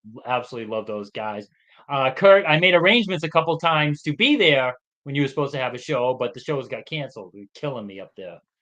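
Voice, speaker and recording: Speaking very fast with big swings in loudness, a man with a Boston accent uses a fairly high voice. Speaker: sports podcast co-host. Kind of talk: casual chat.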